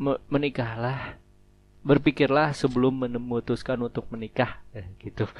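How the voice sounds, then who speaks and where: A man's medium-pitched voice, fairly even in intonation, at a moderate pace. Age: 20s. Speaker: podcast host. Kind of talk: casual solo monologue. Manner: halting.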